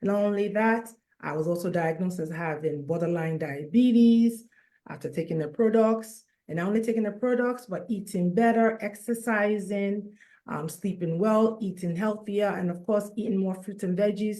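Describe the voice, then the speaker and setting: A woman speaks at a moderate pace in a medium pitch with a dark, mellow tone and ordinary pitch variation. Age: 50s. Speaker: nurse and wellness coach. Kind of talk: testimony.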